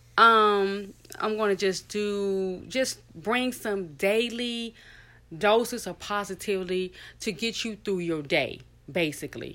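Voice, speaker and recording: Against a very clean, silent background, a woman with a medium pitch and ordinary pitch variation speaks very slowly in a tone both warm and bright, sharp. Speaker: podcaster. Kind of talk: solo podcast monologue, faith-based. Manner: informal, chatty, warm; earnest, inspirational.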